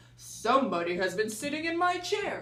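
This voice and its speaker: A female-sounding voice with fairly high pitch growls in a put-on character voice over light background noise. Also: moderate pace. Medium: read story.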